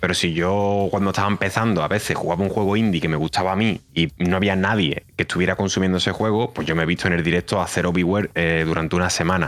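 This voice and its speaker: A man's very deep, low voice at a very fast pace, with hardly any pauses, fairly even intonation and very even loudness. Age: 30s. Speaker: streamer. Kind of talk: casual chat.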